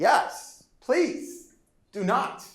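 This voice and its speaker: The pitch swings very widely, and there is audible room echo. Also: man. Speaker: professor. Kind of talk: lecture. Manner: fast; animated.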